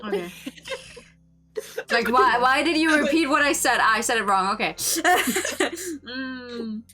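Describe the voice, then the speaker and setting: A woman with a high-pitched, raised and projected voice speaks very slowly with lively intonation and long, frequent pauses over noticeable background noise. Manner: annoyed.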